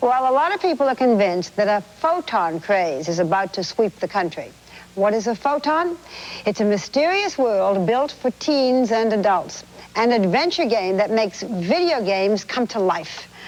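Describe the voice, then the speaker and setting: Speaking at a fairly high pitch, a woman keeps her loudness very even while her pitch swings very widely. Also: moderate pace. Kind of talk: TV news anchor introduction.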